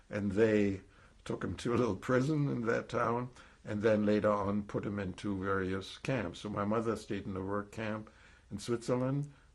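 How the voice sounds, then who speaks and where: Speaking with a slight German accent, a man talks at a moderate pace in a fairly low voice with ordinary pitch variation against a quiet background. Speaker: Holocaust survivor. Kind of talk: testimony. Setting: recorded interview. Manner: halting, with false starts.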